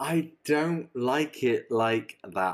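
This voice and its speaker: On a very clean recording with a silent background, a man speaks in a British accent with ordinary pitch variation. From UK. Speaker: podcast co-host. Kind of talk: casual chat.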